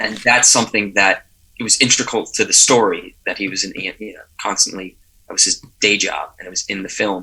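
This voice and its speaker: A man speaks at a very fast pace in an American accent, with big swings in loudness. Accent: slight New Jersey accent, mostly reduced. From New Jersey. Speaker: actor. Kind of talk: interview. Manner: halting.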